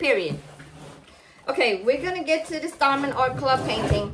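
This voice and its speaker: Over light background noise, a woman with an American accent speaks at a high pitch. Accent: Cajun Louisiana Southern US. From Louisiana, Cajun. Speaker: crafting YouTuber. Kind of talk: casual unboxing vlog. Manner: chatty, rambling talk. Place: home room. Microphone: phone near.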